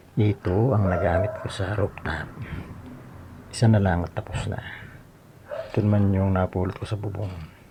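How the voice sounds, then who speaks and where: Over noticeable background noise, a man with a fairly low voice speaks at a moderate pace in a flat monotone, leaving long, frequent pauses. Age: 60s. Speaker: vlogger doing home repairs. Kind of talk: casual vlog narration. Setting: outdoors on a rooftop. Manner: soft-spoken.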